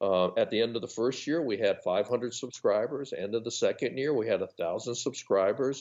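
Speaking with a General American accent, a man keeps a moderate pace with hardly any pauses. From US West Coast. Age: 60s. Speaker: retired physical education teacher and publisher. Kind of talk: casual interview.

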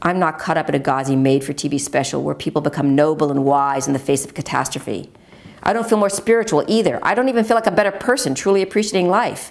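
A woman talks at a fast pace in a low pitch, with ordinary pitch variation.

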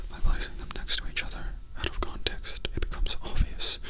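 The speech is whispered. It moves at a very fast pace. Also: man. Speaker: comedic reviewer. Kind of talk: deadpan review commentary. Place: home room. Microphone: handheld.

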